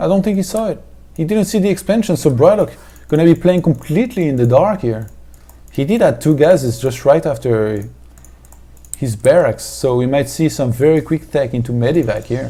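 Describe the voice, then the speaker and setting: With a French accent, a man talks at a fairly quick pace in a dark, mellow tone, his fairly high pitch swinging very widely, with vocal fry. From France. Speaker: esports commentator. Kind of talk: live commentary.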